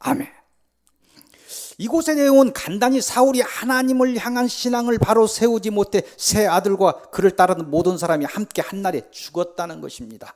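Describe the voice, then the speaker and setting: The intonation is lively. The pace is moderate. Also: man, high pitch for a man. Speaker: pastor. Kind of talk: sermon. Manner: speeds up when running late; not eloquent, plain delivery.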